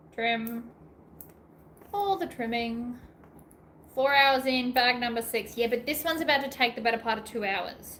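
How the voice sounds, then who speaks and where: Speaking in an Australian accent, a woman with a high pitch and a bright, sharp tone goes at a fairly slow pace with ordinary pitch variation. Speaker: sewing YouTuber. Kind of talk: live stream craft tutorial chat. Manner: animated.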